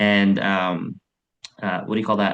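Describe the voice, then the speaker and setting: A man speaks at a moderate pace. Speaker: Lions club president presenting a mentoring program. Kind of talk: virtual club meeting presentation. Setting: video call. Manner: many filler words, halting.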